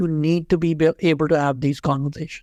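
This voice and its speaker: The speaker has a Pakistani accent, heard in a dry, close sound with no echo and a very clean recording over a silent background. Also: man. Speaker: HR executive. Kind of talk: interview conversation.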